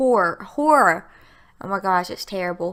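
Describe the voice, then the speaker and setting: A woman with lively intonation at a fairly quick pace, in a very clean recording with a silent background. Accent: strong Southern US. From US South, Alabama. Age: 20s. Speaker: gaming youtuber. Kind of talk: voiceover commentary. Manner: casual, chatty.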